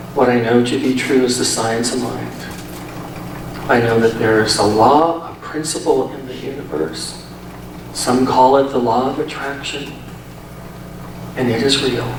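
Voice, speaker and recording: Over noticeable background noise and audible room echo, a man with a medium-pitched voice talks at a fairly slow pace with ordinary pitch variation and long, frequent pauses. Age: 50s. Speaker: minister. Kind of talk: sermon.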